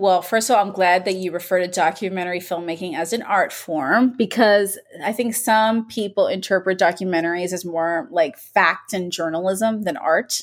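Over noticeable background noise, a woman with an American accent talks at a moderate pace and medium pitch with ordinary pitch variation. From Miami, US. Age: 40s. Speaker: documentary filmmaker. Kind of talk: interview.

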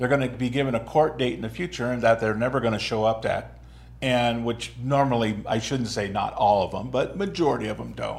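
At a fairly quick pace, a man with a medium pitch uses an ordinary speaking voice. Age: 60s. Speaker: talk show host. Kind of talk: interview. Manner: casual, laughs often.

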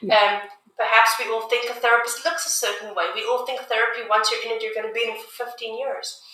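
In a room with audible echo, a woman talks at a fairly quick pace in a raised, projected voice. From South Africa. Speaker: music therapist and army veteran. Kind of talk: interview.

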